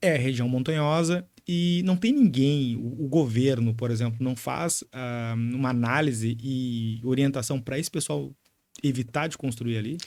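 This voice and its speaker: Fairly slow man at medium pitch, with ordinary pitch variation. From Porto Alegre, Brazil. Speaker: podcast host. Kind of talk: interview. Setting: studio.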